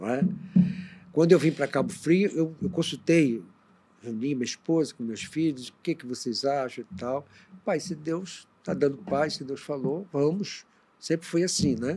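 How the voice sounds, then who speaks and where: A man's fairly high voice, dark and mellow in tone, with ordinary pitch variation and a fairly slow pace. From northwestern Rio de Janeiro state. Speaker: bishop. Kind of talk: interview on a church podcast. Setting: studio video livestream.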